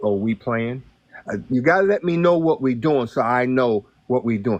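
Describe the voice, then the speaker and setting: With a plain, everyday voice at a medium pitch, a man speaks at a moderate pace with lively intonation, the sound dry and close with no echo. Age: 60s. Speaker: guest on a live stream. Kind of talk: casual chat.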